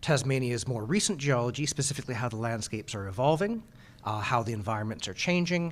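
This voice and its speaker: A man with a Canadian accent and medium pitch at a very fast pace, on a very clean recording with a silent background. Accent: Canadian, noticeable. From Canada (Vancouver). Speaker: natural hazards geologist. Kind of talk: conference talk. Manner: casual, hesitant with fillers.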